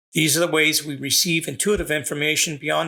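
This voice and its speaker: A man talks with a bright, sharp tone, a fairly high pitch and vocal fry. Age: 60s. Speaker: psychic medium podcast host. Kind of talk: podcast monologue.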